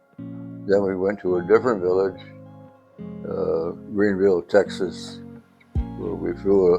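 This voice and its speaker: Music plays in the background as a man speaks with an American accent. His pace is very slow. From upstate New York. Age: 80s+. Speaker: World War II veteran fighter pilot. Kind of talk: interview answer. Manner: hesitant, with frequent fillers.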